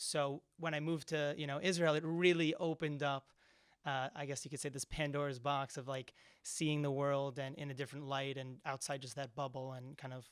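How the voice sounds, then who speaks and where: A man talks at a fairly quick pace with a New Jersey accent. His fairly high voice stays monotone and flat. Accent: American English (New Jersey). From US East Coast, New Jersey. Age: 20s. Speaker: university student. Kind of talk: podcast interview. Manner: hesitant, many fillers.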